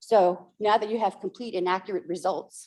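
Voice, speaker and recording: A woman speaks in a dark, mellow tone. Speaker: accountant, workshop presenter. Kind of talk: workshop presentation. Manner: fast.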